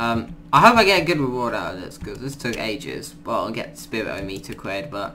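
A man speaks at a moderate pace in a medium pitch, his intonation lively, with noticeable background noise behind him. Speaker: gaming YouTuber. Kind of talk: gameplay commentary. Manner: casual, rambling, filler words.

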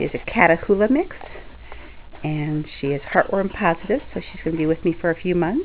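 A woman talks at a moderate pace. There is light background noise. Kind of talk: casual pet video narration. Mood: warm, affectionate. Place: home room. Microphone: phone near.

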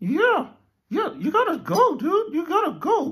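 A cartoonish character voice at an extremely high pitch, with very wide pitch swings and a fairly slow pace. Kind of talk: comic improv overacting. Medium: puppet show. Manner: playful, excitable, a bit vain.

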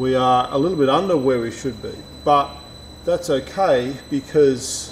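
Noticeable noise in the background behind a man talking at a moderate speed. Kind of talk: explanation to visitors on camera. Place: workshop.

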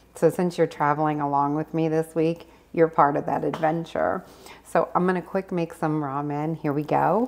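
Soft-spoken, a woman talks at a moderate pace with a very deep, low pitch. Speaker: cooking vlogger; home cook vlogger. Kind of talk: casual vlog. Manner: animated. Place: kitchen. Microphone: phone near.

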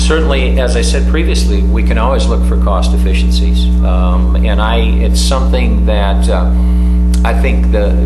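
A man talks at a moderate pace while loud background noise carries on beneath him. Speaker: candidate. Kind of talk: debate answer. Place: meeting room.

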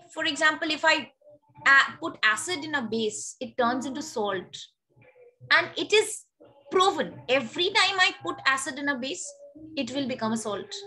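A woman speaks in a raised, projected voice at a high pitch, her pitch swinging very widely. She keeps a moderate pace with long, frequent pauses over light background noise. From India. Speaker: teacher. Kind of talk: lecture. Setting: video call. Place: home room. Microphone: webcam.

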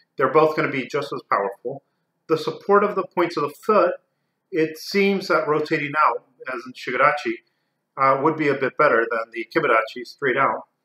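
Over a quiet background with audible room echo, the speaker talks at a fairly quick pace with ordinary pitch variation. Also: man, fairly high pitch for a man. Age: 40s. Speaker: karate instructor and video creator; martial arts instructor. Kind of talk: educational talk to camera; lecture. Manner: halting. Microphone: lapel.

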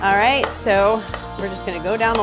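Music sounds clearly behind the talking. The voice is a woman's. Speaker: cooking show host. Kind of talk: tutorial. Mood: cheerful and friendly. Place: kitchen.

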